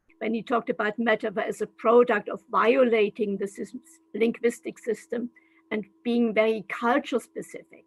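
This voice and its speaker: At a moderate pace, a woman with a German accent speaks at a fairly high pitch with fairly even intonation, the sound dry and close with no echo. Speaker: translation studies professor. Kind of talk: lecture. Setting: video call.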